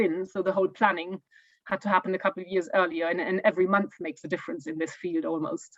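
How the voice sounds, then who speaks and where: A woman with a German accent speaks very fast at a medium pitch, her pitch varying in an ordinary way. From Germany. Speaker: homeowner giving an eco home tour. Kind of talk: Q&A in online talk. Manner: halting, many fillers and repeats.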